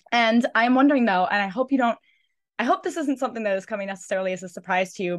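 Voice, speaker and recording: Against a quiet background, a woman with an American accent speaks at a very fast pace. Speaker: podcast host. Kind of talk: casual interview chat.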